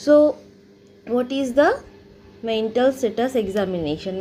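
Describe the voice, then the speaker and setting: A woman speaks at a fairly slow pace with lively intonation. Noticeable background noise runs underneath. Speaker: psychology teacher. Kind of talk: lecture. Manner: halting with fillers.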